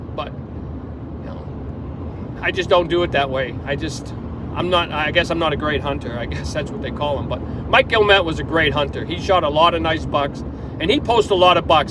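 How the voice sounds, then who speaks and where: This man talks fairly quickly in a fairly high pitch while noticeable background noise sits behind him. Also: ordinary pitch variation. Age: 60s. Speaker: hunter. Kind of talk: casual monologue. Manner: halting.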